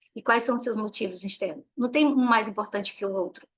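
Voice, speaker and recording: A woman talks in a plain, everyday voice. Her pitch is fairly high, with ordinary variation. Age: 40s. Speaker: parenting educator. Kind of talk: online workshop talk.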